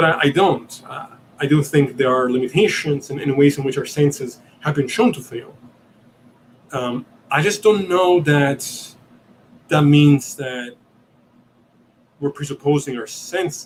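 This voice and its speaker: At a fairly slow pace with long, frequent pauses, a man speaks somewhat breathily at a fairly high pitch with ordinary pitch variation. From Italy. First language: Italian. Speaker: podcast host. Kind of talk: live Q&A stream. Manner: halting, many fillers and repeats.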